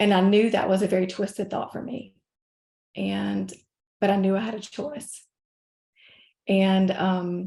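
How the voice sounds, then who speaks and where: Somewhat breathy and dark, mellow in tone, a woman speaks in a Southern US accent. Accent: Southern US (Georgia). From US South (North Georgia). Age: 50s. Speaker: life coach. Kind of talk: podcast interview.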